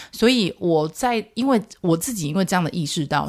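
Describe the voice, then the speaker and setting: Lively intonation marks a woman speaking at a moderate pace. The recording is very clean, with a silent background. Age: 40s. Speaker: parenting podcast host, mother of twins. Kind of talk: casual solo podcast monologue. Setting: recording studio. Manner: animated.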